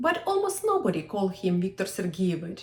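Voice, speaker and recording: A woman with a Ukrainian accent speaks in a dark, mellow tone. Her pitch swings very widely. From Ukraine. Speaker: historian and walking tour guide. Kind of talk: personal story told to camera.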